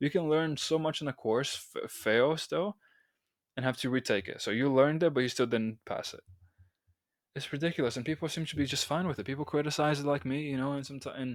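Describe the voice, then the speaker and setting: A fairly high-pitched man with a non-native accent and ordinary pitch variation, on a very clean recording with a silent background. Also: fairly quick pace. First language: not English. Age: 20s. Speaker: podcast host and college student. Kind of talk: solo podcast monologue. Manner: halting, with self-corrections.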